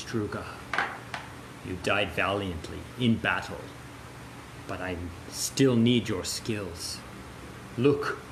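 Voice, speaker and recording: A man puts on a character voice, fairly low in pitch, and speaks at a very slow pace with long, frequent pauses. Clear background noise runs underneath. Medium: actual play. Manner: solemn, commanding.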